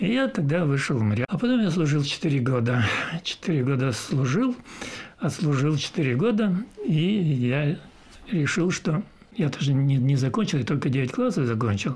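Against noticeable background noise, a man with a fairly high pitch speaks at a moderate pace, making very wide pitch swings at a very even loudness, with long, frequent pauses. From southern Russia, Adygea (Maykop). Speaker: retired sea captain. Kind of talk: interview.

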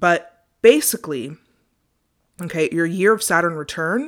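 In a very clean recording with a silent background, a woman talks at a fairly slow pace and a fairly low pitch. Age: 20s. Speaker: podcast host. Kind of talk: solo podcast monologue, self-help. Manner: animated, passionate.

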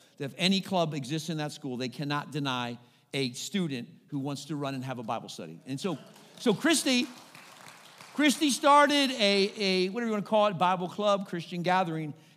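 Over crowd noise, a man talks at a fairly quick pace in an animated, high-pitched voice with very wide pitch swings. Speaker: pastor. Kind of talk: sermon; rousing sermon storytelling, rallying congregation to call-and-response. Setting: church. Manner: animated, exhorting preacher prompting 'say amen' responses; conversational with frequent uh fillers.

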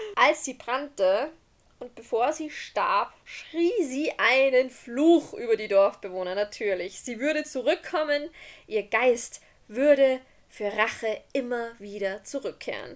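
At a very slow pace, a woman speaks in a high voice with lively intonation, recorded very cleanly against a silent background. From Austria. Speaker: podcast host. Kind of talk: storytelling; casual chat.

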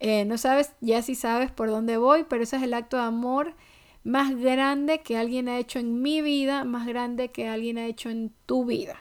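A woman speaks at a high pitch and a moderate pace with fairly even intonation. The recording is very clean, with a silent background. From Ecuador. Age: 30s. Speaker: podcast host. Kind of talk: casual faith-based monologue.

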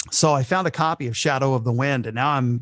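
A man speaks in a plain, everyday voice at a fairly high pitch. The background is quiet. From United States, military family that moved often. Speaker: radio broadcaster and author. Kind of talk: interview.

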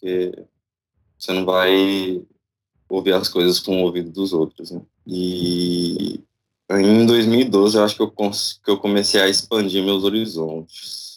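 A man speaks very slowly in a very deep, low voice with a monotone, flat intonation. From Brazil, Tocantins. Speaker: music producer. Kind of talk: casual chat.

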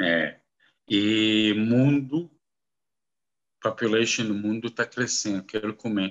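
At a very slow pace with long, frequent pauses, a man speaks in a fairly low pitch with ordinary pitch variation. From Kuwait and Saudi Arabia, Lebanese descent. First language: Arabic (speaking Portuguese). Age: 50s. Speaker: businessman in foreign trade. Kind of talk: casual interview. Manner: halting, mixing English into Portuguese.

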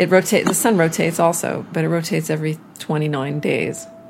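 Fairly low in pitch, this woman speaks at a moderate pace with a Canadian accent. Background noise is noticeable. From Montreal. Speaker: astrophysics professor. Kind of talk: interview.

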